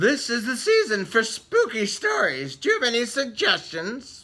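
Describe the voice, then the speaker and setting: Someone performs a put-on character voice at a fairly high pitch. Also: moderate pace. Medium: read story. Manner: cheerful.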